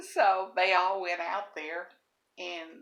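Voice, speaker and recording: A woman with a Southern US accent, medium pitch, and a fairly slow pace. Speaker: storyteller. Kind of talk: casual storytelling.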